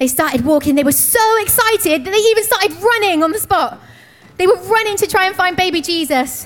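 The speaker talks at a fairly quick pace with lively intonation and very even loudness. Music plays in the background. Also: woman, extremely high pitch for a woman. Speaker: church storyteller. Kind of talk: children's nativity storytelling, narrating live to kids. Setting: church stage with audience of kids. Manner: warm, animated, encouraging; playful, paced for children, building up the walking journey.

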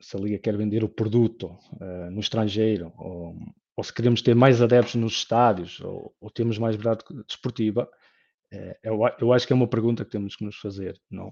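Over a quiet background, a man with a dark, mellow tone talks at medium pitch with fairly even intonation and big swings in loudness. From northern Portugal, Lousada (Porto district). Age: 30s. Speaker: football fan panelist. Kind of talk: casual panel discussion.

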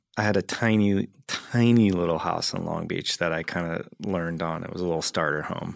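A man whose pitch is very deep and low talks fairly quickly with ordinary pitch variation, captured on a very clean recording with a silent background. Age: 40s. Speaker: actor and comedian, film buff guest. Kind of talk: casual chat. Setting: studio.

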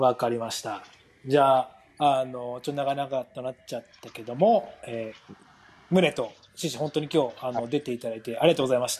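A man speaks at a fairly quick pace in a normal speaking voice, medium in pitch, with ordinary pitch variation and big swings in loudness. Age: 20s. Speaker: podcast host, pro footballer. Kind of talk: casual chat.

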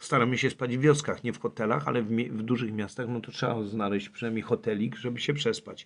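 A man with a medium pitch and normal pitch movement races along very fast, barely pausing. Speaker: climber and traveller. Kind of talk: interview.

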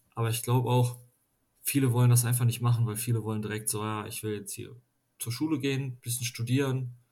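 This man talks at a fairly quick pace and medium pitch. His tone is dark and mellow, and somewhat breathy. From western Germany, near Düsseldorf. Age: 20s. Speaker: master craftsman. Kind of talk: casual chat.

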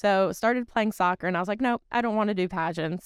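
Dry and close with no echo, a woman talks very fast at a medium pitch with ordinary pitch variation. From Connecticut, US. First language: Portuguese. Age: 20s. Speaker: former beauty pageant titleholder, HR professional. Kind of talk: casual interview chat.

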